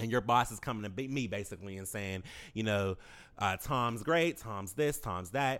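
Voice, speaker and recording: A man's normal speaking voice, fairly low in pitch, at a moderate pace with ordinary pitch variation, in a very clean recording with a silent background. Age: 30s. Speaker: interview guest. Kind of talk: casual interview.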